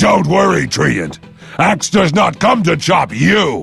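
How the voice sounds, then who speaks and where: Over faint music in the background, a man uses a cartoonish character voice, growling at a fairly high pitch and a fairly slow pace. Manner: boastful, speaks of himself in third person.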